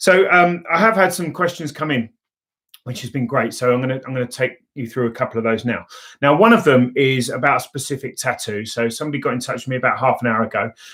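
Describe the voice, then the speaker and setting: A man of medium pitch speaks at a very fast pace in a bright, sharp tone with ordinary pitch variation. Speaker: laser tattoo removal clinic owner. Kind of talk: live Q&A livestream. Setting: live video stream. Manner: hesitant, many fillers.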